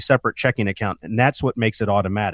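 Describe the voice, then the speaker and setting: Against a quiet background, a man is heard. He talks at a very fast pace. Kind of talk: infomercial-style sales pitch urging listeners to call for a free retirement review. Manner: urgent, pushy call-to-action, pitchy and promotional.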